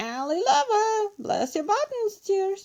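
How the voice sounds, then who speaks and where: A woman's put-on character voice, extremely high in pitch and at a fairly slow pace. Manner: solemn, mimicking.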